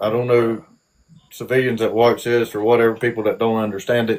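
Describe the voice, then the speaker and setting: A man with a strong Southern US accent talks at a medium pitch. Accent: Southern US drawl, strong. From South Georgia, US. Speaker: army veteran. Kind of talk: interview. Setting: live stream. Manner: halting.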